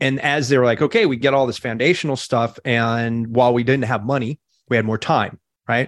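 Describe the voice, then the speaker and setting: A man has a plain, everyday voice at a medium pitch. He talks at a fairly quick pace with fairly even intonation. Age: 40s. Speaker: digital marketing entrepreneur. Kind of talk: interview.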